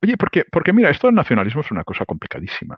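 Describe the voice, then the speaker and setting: This man speaks with vocal fry. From Spain, Barcelona (Catalonia). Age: 60s. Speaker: economist and political analyst. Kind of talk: interview. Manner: animated.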